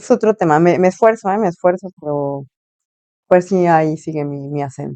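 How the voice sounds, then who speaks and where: A woman's dark, mellow voice, fairly low in pitch, with ordinary pitch variation, a moderate pace, big swings in loudness and a dry, close sound with no echo. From Mexico (Morelia, later Tampico). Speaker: journalist. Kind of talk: interview conversation.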